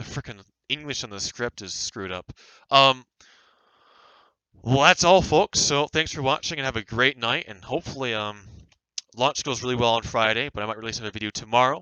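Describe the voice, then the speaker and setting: Speaking at a fairly quick pace, a man uses medium pitch and ordinary pitch variation. His loudness swings a lot, and long pauses come frequently. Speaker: podcast host. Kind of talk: casual chat. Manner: halting, stumbling over words.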